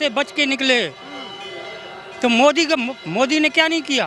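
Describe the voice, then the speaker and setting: Over music in the background, a man speaks in a raised, projected voice. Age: 70s. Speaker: member of the public in street interview. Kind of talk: street vox pop political opinion.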